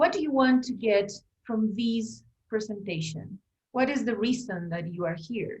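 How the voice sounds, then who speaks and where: A woman's somewhat breathy, fairly high voice in a Spanish accent, with lively intonation at a fairly slow pace. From Bolivia. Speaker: language teacher and teacher trainer. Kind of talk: online workshop presentation.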